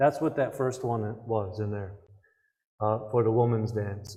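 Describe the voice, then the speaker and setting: A man talks at a moderate pace, and the room echo is audible. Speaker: Native cultural speaker. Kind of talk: public talk Q&A. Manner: soft-spoken.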